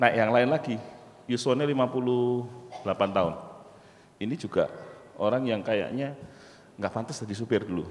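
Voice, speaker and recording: The speech has ordinary pitch variation and a moderate pace. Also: man. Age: 40s. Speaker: university lecturer and entrepreneur; university lecturer. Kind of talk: motivational talk. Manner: animated. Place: hall. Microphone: handheld.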